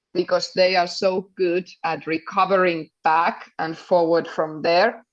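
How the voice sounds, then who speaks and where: Against a quiet background, a woman with a Finnish accent speaks very slowly at a medium pitch. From Finland. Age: 30s. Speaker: padel coach. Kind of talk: interview.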